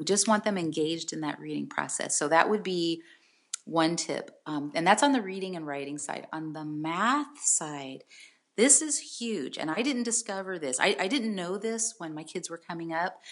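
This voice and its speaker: A woman with an American accent has a normal speaking voice in a fairly low pitch. Her loudness swings widely. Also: moderate pace. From San Jose, California. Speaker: college admissions expert and author. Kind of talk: interview conversation.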